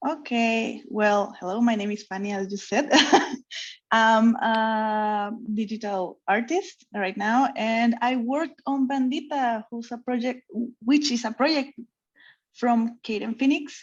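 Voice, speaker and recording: A woman's fairly high voice in a Mexican accent, at a fairly slow pace, over a quiet background. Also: ordinary pitch variation. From Mexico. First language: Spanish. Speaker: comic artist. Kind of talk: interview chat. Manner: halting.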